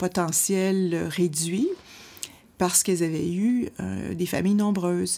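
On a very clean recording with a silent background, a woman speaks with a dark, mellow tone, fairly low pitch, and ordinary pitch variation. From Quebec City. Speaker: women's rights organization president. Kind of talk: interview.

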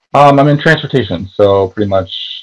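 The speaker has an American accent. Pitch variation is ordinary. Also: man. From Connecticut, US. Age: 20s. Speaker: Instagram personality, fast food worker. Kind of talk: casual interview chat. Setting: video call.

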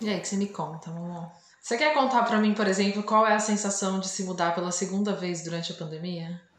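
A soft-spoken woman at medium pitch and a very fast pace, ordinary pitch variation, audible room echo and noticeable background noise. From interior of Brazil. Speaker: podcast co-host. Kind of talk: casual chat. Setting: video call. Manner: calm, soft.

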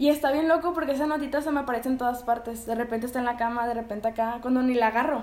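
The speaker talks at a very fast pace with hardly any pauses, in a Mexican accent. Intonation stays fairly even, and background noise is noticeable. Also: woman, high pitch for a woman. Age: 20s. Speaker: podcast co-host and writer. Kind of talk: casual chat.

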